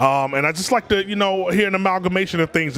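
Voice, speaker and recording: A man with an American accent talks at a very fast pace. Noticeable background noise is present. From Washington D.C. area. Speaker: hip hop artist. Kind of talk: casual interview.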